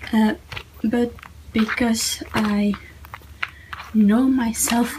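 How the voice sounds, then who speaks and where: With noticeable background noise behind her, a woman with a non-native accent speaks at a fairly high pitch with ordinary pitch variation. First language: not English. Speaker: YouTuber, planner/journaling hobbyist. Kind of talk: casual tutorial / show-and-tell. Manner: halting, many fillers.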